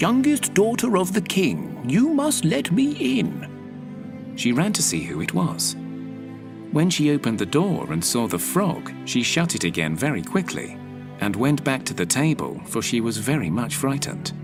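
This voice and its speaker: A man talking with hardly any pauses over music in the background. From British. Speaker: storyteller. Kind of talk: sleep story. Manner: soft-spoken.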